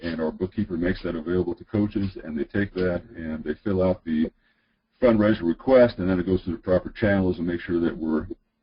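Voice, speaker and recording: A man speaks with a very deep, low pitch. He moves at a fairly quick pace with ordinary pitch variation. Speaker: high school athletic director. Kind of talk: webinar presentation. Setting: online webinar. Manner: fast; many filler words.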